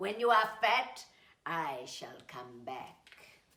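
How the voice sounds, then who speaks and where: This put-on character voice growls at a very slow pace, its pitch swinging very widely. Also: woman, fairly high pitch for a woman. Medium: read story. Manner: growling, threatening.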